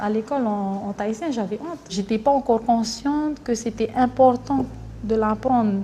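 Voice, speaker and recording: A woman speaks at a fairly high pitch and moderate pace with ordinary pitch variation. Her tone is dark and mellow, and somewhat breathy. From French Polynesia (Tahiti). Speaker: singer in a music group. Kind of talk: documentary interview.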